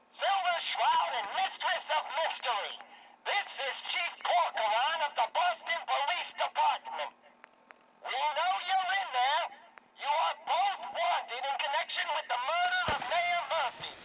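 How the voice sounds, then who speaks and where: Delivered at a fairly slow pace, this put-on character voice sits at an extremely high pitch. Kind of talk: 1940s radio drama acting. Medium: video game.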